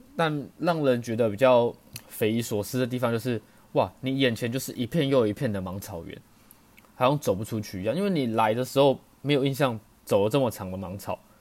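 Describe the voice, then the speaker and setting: Medium in pitch, a man talks at a fairly quick pace with ordinary pitch variation. Long, frequent pauses break up his speech. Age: 20s. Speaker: podcast host. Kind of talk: storytelling. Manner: casual, hesitant with fillers.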